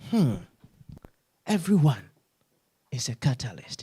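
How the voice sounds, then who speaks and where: A man talks at a fairly slow pace. His voice is somewhat breathy, with a dark, mellow tone. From Ghana. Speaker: pastor. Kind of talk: sermon. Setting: church.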